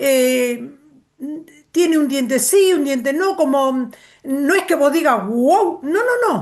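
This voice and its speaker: A woman's high voice at a very slow pace, with lively intonation and very even loudness. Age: 60s. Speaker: course participant. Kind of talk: casual chat.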